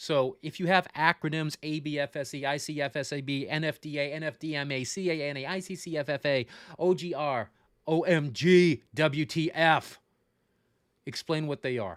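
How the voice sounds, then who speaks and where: A man with an American accent and a fairly high pitch talks at a moderate pace in a normal speaking voice, with fairly even intonation, in a very clean recording with a silent background and a dry, close sound with no echo. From Florida, Tampa Bay. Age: 40s. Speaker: funeral service educator. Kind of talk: livestream lecture. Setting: livestream. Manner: casual, joking.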